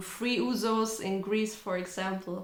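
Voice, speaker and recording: A woman with a German accent speaks at a medium pitch amid noticeable background noise and audible room echo. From Germany. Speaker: language teacher and content creator. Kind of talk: casual Q&A vlog. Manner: conversational, relaxed.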